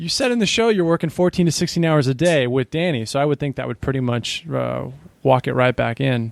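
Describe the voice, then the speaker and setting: In a plain, everyday voice, a man with an American accent talks at a fairly quick pace with a fairly high pitch and ordinary pitch variation. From not Boston. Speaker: podcast host. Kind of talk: interview.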